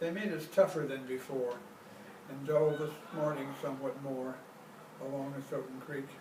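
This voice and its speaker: A man with an American accent at a moderate pace, fairly even intonation and long, frequent pauses, with audible room echo and noticeable background noise. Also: fairly high pitch for a man. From US Pacific Northwest. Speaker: poet. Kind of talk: poetry reading.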